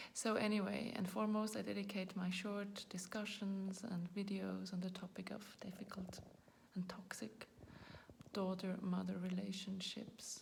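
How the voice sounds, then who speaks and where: A woman with a non-native accent talks at a moderate pace in a monotone, flat intonation with vocal fry. Audible room echo surrounds her voice. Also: medium pitch for a woman. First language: not English. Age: 40s. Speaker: video blogger. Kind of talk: personal talk to camera. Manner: halting, searching for words.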